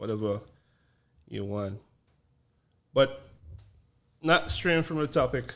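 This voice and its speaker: Speaking very slowly with long, frequent pauses, a man with a strong Vincentian accent uses lively intonation at a medium pitch. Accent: thick Vincentian. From Saint Vincent. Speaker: podcast host. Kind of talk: casual chat.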